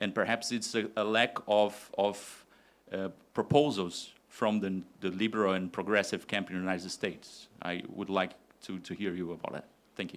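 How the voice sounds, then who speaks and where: In a very clean recording with a silent background, a man with a Portuguese accent talks at a moderate pace, his pitch fairly low and his intonation fairly even. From Brazil. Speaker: university professor, audience questioner. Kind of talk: audience question at academic forum. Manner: hesitant, many fillers.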